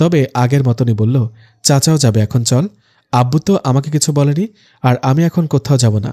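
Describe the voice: Someone reads a text out plainly. Pitch rises and falls in an ordinary way.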